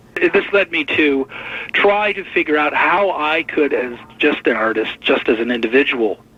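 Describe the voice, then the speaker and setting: A fair amount of background noise is heard as a voice with an American accent speaks at a moderate tempo. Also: man, fairly high pitch for a man. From US Midwest, Detroit. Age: 60s. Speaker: artist and activist. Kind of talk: radio interview. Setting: radio interview.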